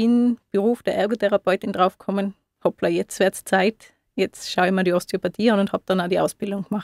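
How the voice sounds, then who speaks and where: A woman speaks in an ordinary speaking voice at a medium pitch, fairly quick and with fairly even intonation. The sound is dry and close, with no echo. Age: 30s. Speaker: osteopath. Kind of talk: radio interview. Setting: radio studio.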